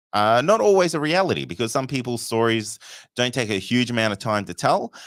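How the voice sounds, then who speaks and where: In an Australian accent, a man speaks at a fairly quick pace with an animated tone, lively intonation and medium pitch. The recording is very clean, with a silent background. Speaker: podcast host. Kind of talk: live show chat. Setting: live stream.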